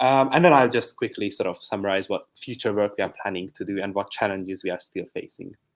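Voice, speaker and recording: A man talks at a very fast pace with hardly any pauses. The recording is very clean, with a silent background. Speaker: PhD student presenting research. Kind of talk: conference talk. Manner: quiet.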